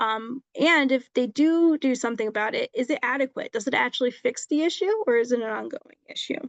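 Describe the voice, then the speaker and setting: A woman's high-pitched voice at a fairly quick pace, hardly any pauses, ordinary pitch variation, and a dry, close sound with no echo. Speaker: legal presenter. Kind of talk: presentation on tenant rights. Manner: fast; halting with many ums.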